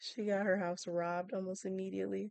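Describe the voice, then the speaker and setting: A soft-spoken woman talks at a medium pitch. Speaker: Sims gaming YouTuber. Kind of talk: casual chat. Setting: at home at night.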